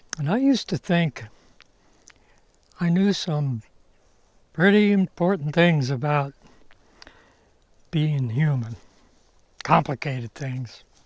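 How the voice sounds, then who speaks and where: A man speaks very slowly and somewhat breathily, with long, frequent pauses. His tone is relaxed and his intonation lively, in a dry, close sound with no echo. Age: 80s+. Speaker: retired psychologist and vlogger. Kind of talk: casual talk to camera while hiking. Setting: outdoors, forest hike. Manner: relaxed, unhurried with fillers.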